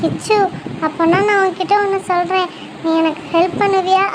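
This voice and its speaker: Loud background noise surrounds a woman doing a put-on character voice, squeaky and extremely high-pitched. She keeps a moderate pace. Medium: cartoon. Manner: crafty and domineering.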